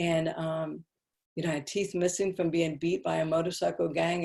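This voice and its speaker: This woman has an American accent and a dark, mellow tone. Her pace is moderate. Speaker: speaker on addiction recovery and faith. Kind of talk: personal testimony in an online interview. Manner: loud.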